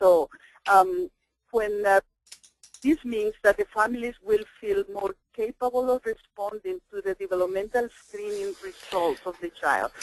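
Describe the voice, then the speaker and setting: With a Spanish accent, the speaker talks at a fairly slow pace. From El Salvador. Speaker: parent educator and trainer. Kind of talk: webinar presentation. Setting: webinar.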